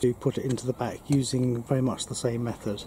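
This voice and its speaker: A man speaks with fairly even intonation. The sound is dry with no echo, with light background noise. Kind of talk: tutorial. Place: garden. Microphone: camera far.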